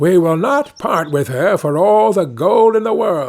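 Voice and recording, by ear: Putting on a character voice, a man speaks fairly slowly at a high pitch with big pitch swings, vocal fry and a slightly mellow tone.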